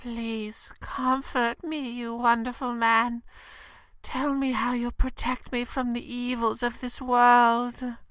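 A woman's high-pitched, monotone voice with flat intonation at a fairly slow pace, in a very clean recording over a silent background. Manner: breathy, swooning, melodramatic.

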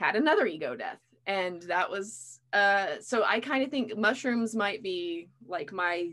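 Speaking at a medium pitch with lively intonation, a woman has an ordinary speaking voice. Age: 30s. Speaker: podcast host. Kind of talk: casual interview.

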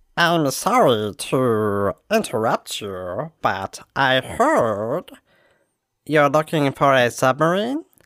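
A put-on character voice at a low-to-middle pitch and very slow pace, in a very clean recording with a silent background. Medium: actual play. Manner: sly, broken grammar.

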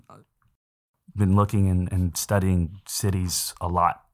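A man speaks in a fairly low voice with an American accent. The recording is very clean and the background silent. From San Antonio, Texas. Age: 20s. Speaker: podcast co-host. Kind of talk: casual chat.

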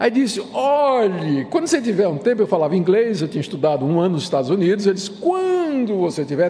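Racing at a very fast pace, a man swings his pitch very widely over noticeable background noise. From Brazil, Recife, Pernambuco. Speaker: pastor. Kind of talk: lecture. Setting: church.

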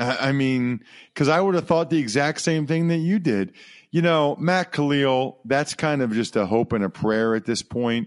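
Lively intonation marks this man's speech, delivered at a moderate pace. He has a plain, everyday voice. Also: quiet background. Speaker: former football player and sports broadcaster. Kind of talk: casual interview.

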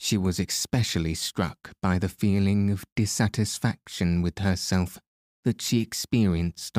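A natural reading voice against a quiet background

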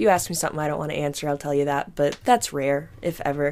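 A woman's voice with a very deep, low pitch. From US Midwest (Missouri). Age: 20s. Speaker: podcast guest. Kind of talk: casual chat.

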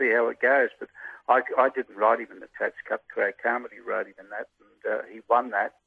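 A man talks at a fairly quick pace in an Australian accent. His loudness swings a lot. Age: 70s. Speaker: retired jockey. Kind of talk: interview.

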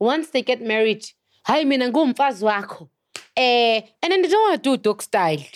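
A woman speaks at a fairly quick pace in a high voice with very wide pitch swings. The sound is dry and close, with no echo. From South Africa. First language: Zulu. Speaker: chef. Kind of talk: casual chat.

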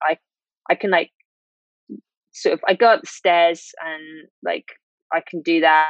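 Speaking in a British accent, a woman uses a fairly low pitch and fairly even intonation at a fairly slow pace with long, frequent pauses. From UK. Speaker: illustrator and long COVID patient. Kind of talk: interview testimony.

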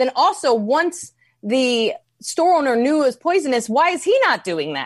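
A woman with a New York accent and lively intonation. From New York, US. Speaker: comedian, podcast co-host. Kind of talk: casual comedic chat. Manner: animated, many fillers.

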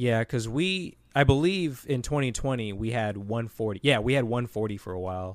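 A man with an American accent speaks in a plain, everyday voice at a medium pitch and moderate pace, with lively intonation and hardly any pauses, on a very clean recording with a silent background. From US Midwest, Cleveland, Ohio. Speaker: YouTube creator. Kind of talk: casual chat.

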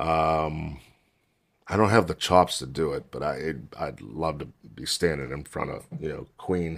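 Very deep and low in pitch, a man speaks at a fairly slow pace with vocal fry, ordinary pitch variation and big swings in loudness. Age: 50s. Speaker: podcast host, drummer and singer. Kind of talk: casual chat.

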